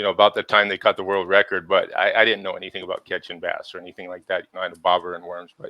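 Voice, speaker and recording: Delivered in an American accent at a very fast pace, the speech has hardly any pauses and big swings in loudness. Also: man. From Southern California (Ventura County). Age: 60s. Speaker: local water activist, Navy veteran and electrician. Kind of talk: podcast interview. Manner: halting, many fillers and repeats.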